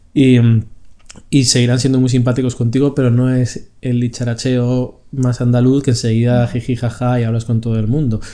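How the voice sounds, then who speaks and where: A man speaks at a moderate pace in a dark, mellow tone, medium in pitch, with monotone, flat intonation. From Spain. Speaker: podcast co-host. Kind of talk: casual chat.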